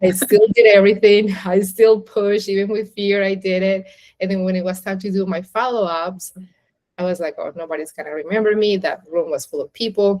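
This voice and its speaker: Intonation is fairly even. The speech moves at a fairly quick rate. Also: woman, medium pitch for a woman. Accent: non-native. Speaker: interviewer. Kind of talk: interview.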